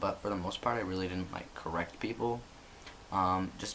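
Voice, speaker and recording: Through noticeable background noise, a man with a very deep, low voice speaks at a moderate pace with fairly even intonation. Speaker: vlogger. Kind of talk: video diary update. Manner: casual, many fillers.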